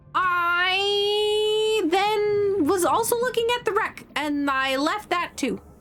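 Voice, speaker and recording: A woman speaks with an extremely high pitch and lively intonation at a very slow pace, her loudness very even and hardly any pauses, over noticeable background noise. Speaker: video game streamer. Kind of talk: casual gameplay commentary.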